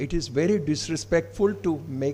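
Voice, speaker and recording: A man's fairly high, somewhat breathy voice with a dark, mellow tone and very wide pitch swings, audible room echo around it. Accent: Odisha. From India, Odisha. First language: Odia. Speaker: professor of English, keynote speaker. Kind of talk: seminar address. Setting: seminar hall with student audience. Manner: formal.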